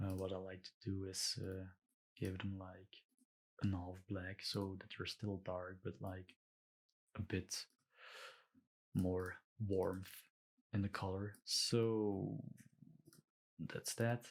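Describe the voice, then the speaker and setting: A man with a Belgian accent and a very deep, low pitch, monotone, flat intonation, a very slow pace, and long, frequent pauses. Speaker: illustrator. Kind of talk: tutorial. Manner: hesitant, many fillers.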